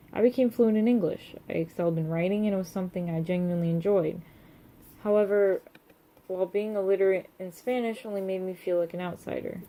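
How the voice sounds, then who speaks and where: A woman talks at a very fast pace. Her voice sits at a medium pitch with fairly even intonation. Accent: American. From United States. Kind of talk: reading own personal essay.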